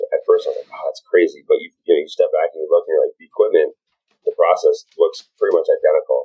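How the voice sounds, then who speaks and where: A man with an American accent speaks very fast at an extremely high pitch. His intonation stays fairly even while his loudness swings widely. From southern Wisconsin. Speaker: brewery owner and brewer. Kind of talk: casual interview.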